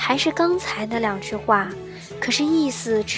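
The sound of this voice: Lively intonation in an unforced reading voice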